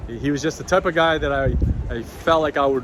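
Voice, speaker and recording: Noticeable background noise fills the recording. Over it, a man speaks very fast. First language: not English. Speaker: YouTuber, baseball card collector. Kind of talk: casual vlog talk. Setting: outdoors.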